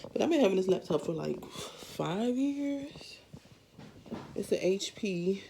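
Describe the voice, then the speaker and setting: The voice is somewhat breathy, with a dark, mellow tone and very wide pitch swings. It moves at a very slow pace, broken by long, frequent pauses. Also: woman, medium pitch for a woman. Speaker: lifestyle vlogger. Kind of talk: casual vlog.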